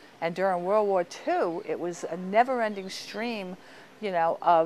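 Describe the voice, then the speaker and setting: This woman's intonation is lively while her pace stays moderate. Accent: Long Island. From US Northeast, Long Island, New York. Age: 60s. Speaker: local resident recounting family history. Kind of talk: interview reminiscence. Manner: casual, with many fillers.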